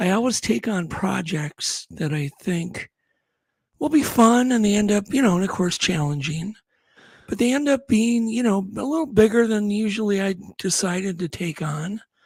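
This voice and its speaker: A man speaks at a moderate pace, his high voice carrying lively intonation. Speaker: film producer and bigfoot researcher, network founder. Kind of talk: podcast interview, casual chat.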